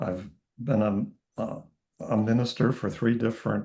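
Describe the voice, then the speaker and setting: A man speaks slowly-ish at medium pitch, with flat, monotone intonation and vocal fry. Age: 70s. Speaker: spiritual teacher and minister. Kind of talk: online information session introduction.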